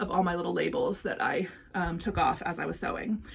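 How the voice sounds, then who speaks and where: A woman speaks in an animated tone. Noticeable background noise runs under her voice. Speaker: crafting vlogger. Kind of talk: casual vlog chat. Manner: fast.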